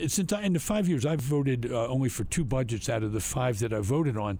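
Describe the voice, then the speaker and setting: Somewhat breathy, with a dark, mellow tone, a man speaks at a fairly quick pace. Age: 70s. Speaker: state legislator. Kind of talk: political report, interview-style commentary.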